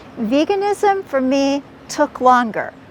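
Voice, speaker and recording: A woman's high voice with a General American accent and very wide pitch swings, over noticeable background noise. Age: 70s. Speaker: author and podcaster. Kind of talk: interview answer.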